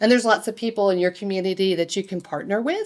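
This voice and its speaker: A woman speaks at a medium pitch with ordinary pitch variation and an ordinary speaking voice. The recording is very clean, with a silent background. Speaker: conference presenter. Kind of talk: conference presentation.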